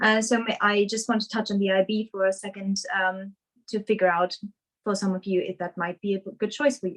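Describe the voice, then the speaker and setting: A woman with a German accent talks fairly quickly at a medium pitch, her intonation flat and monotone. The sound is dry and close, with no echo. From Germany, Essen. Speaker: surgical resident doctor. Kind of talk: webinar presentation. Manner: hesitant, many fillers.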